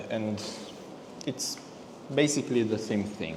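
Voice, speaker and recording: A man with a non-native accent, fairly slow pace and lively intonation, over noticeable background noise. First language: not English. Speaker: car detailer. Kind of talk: tutorial. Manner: halting.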